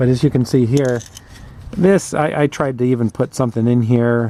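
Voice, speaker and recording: Background noise is noticeable here. Over it, a man speaks fairly quickly. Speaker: garage video host. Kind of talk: tutorial. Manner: casual, with hesitations.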